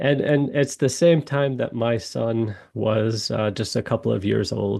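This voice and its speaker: A dark, mellow tone at a fairly slow pace. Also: man, medium pitch for a man, ordinary pitch variation. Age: 40s. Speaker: watch brand founder and architect. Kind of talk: podcast interview. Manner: halting, frequent fillers and repeats.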